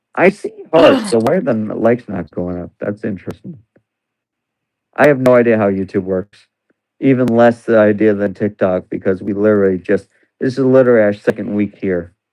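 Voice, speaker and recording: Quiet and dark, with a mellow tone, a man's fairly low voice moves at a fairly quick pace with ordinary pitch variation. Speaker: livestreamer. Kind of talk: casual chat. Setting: live stream at home.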